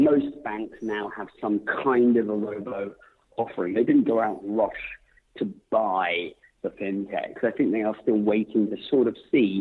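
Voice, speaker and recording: Spoken in a British accent at a fairly slow pace, the voice shows ordinary pitch variation. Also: man. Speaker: author and tech CEO. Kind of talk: podcast interview.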